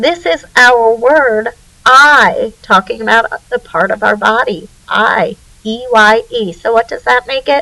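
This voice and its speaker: Speaking at a very slow pace with an American accent, a woman with a high pitch is heard in a dry, close sound with no echo. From northern US. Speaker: teacher. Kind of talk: tutorial.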